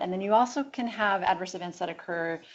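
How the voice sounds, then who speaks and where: A woman's voice at a fairly quick pace, with ordinary pitch variation. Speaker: public health physician speaker. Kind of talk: lecture. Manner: fast.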